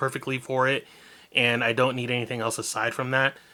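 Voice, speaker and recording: A man speaks at medium pitch. His tone is bright and sharp. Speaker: vlogger. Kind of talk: casual vlog monologue. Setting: seated at desk, camera on tripod. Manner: rambling, jumps between topics.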